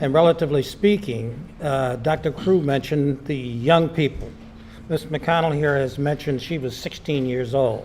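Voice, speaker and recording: Fairly high-pitched male voice at a moderate pace, ordinary pitch variation, noticeable background noise. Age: 80s+. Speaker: community panelist recalling civil rights era. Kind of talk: panel discussion testimony.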